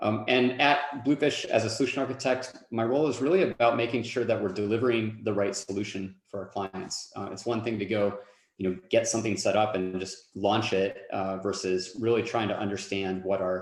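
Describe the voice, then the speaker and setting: Fairly low in pitch, this man's voice shows ordinary pitch variation. He leaves hardly any pauses. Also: fairly quick pace. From US South, North Carolina. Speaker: solution architect. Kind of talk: webinar presentation.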